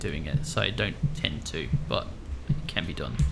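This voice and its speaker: A man talks over music playing in the background. The room adds an audible echo. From Netherlands. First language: Dutch. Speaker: blind gamer and streamer. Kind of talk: live game stream chat. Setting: echoey room. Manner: casual, frequent fillers. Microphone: echoey room.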